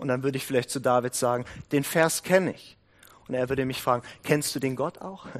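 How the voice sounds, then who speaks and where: A man's plain, everyday voice at a medium pitch, with fairly even intonation, a fairly quick pace and big swings in loudness. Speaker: prayer house leader and guest preacher. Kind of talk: sermon.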